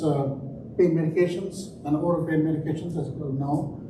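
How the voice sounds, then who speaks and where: A man talks at a fairly quick pace with a high pitch and monotone, flat intonation. Room echo is audible and background noise noticeable. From India. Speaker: trauma surgeon. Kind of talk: conference talk. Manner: hesitant, many fillers.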